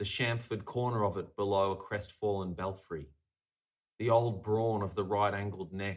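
A man has an unremarkable speaking voice with a fairly low pitch. The recording is very clean, with a silent background. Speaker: poet and stand-up comedian. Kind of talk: poem performed, spoken-word delivery of a written poem.

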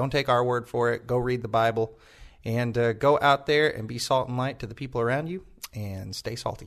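A man's normal speaking voice, medium in pitch, at a fairly quick pace with fairly even intonation. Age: 20s. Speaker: church podcast host. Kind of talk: casual chat; sermon.

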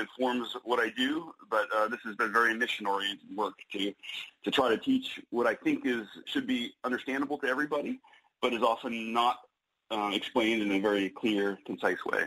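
A man uses a normal speaking voice, keeping his pitch medium and his intonation fairly even. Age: 40s. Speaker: author. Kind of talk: radio interview.

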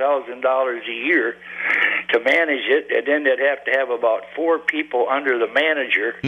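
Over noticeable background noise, a man with a fairly high voice speaks at a moderate pace and fairly even intonation. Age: 70s. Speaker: regular caller. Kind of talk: call-in talk radio. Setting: phone call.

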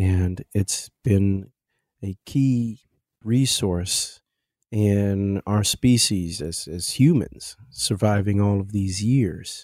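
Over a silent background in a very clean recording, a man speaks at a very slow pace and fairly low pitch with ordinary pitch variation. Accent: Midwestern. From Kansas City, Missouri. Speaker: jazz pianist and composer. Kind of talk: casual interview conversation.

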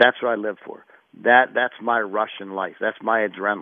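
A plain, everyday voice from a man with an American accent, fairly low pitch and fairly even intonation. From Pittsburgh, US. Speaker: football strength coach. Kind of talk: radio interview.

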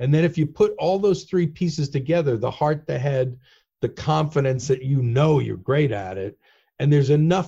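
Over a quiet background, a somewhat breathy man speaks with a dark, mellow tone, his fairly high pitch showing ordinary variation. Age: 60s. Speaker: headhunter and author. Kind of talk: casual interview chat. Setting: video call.

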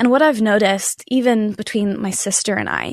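A woman with a plain, everyday voice, fairly high pitch and an American accent, at a moderate pace with ordinary pitch variation, in a dry, close sound with no echo and a quiet background. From Nashville, Tennessee, US South. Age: 20s. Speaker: singer-songwriter. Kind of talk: casual interview chat.

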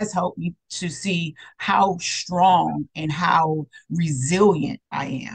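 A woman with a fairly low voice and vocal fry speaks with ordinary pitch variation. The sound is dry and close, with no echo. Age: 40s. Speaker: therapist and mindset coach. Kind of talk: interview.

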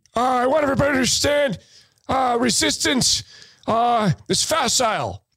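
A man puts on a character voice pitched extremely high, moving at a moderate pace broken by long, frequent pauses. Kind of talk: impression. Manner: mocking.

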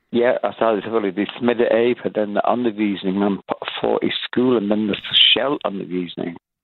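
In an English accent, a man speaks at a fairly slow pace. His voice is fairly low, with fairly even intonation. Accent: English-accented Danish. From northern England, Blackpool. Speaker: caller. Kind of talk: casual chat. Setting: phone call.

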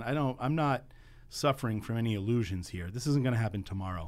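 A man with a plain, everyday voice in an American accent, medium-pitched with ordinary pitch variation, on a very clean recording with a silent background. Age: 50s. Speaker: advocacy group founder. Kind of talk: radio interview. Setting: radio studio.

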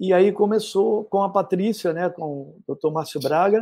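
Ordinary pitch variation runs through the speech. The voice has a dark, mellow tone. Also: man. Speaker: retired footballer. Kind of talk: casual interview.

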